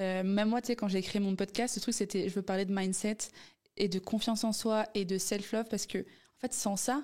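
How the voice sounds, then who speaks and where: In a very clean recording with a silent background, a woman with an ordinary speaking voice talks at a moderate pace and medium pitch, her loudness very even and her intonation fairly even. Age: 20s. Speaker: business student and entrepreneur. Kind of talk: casual interview.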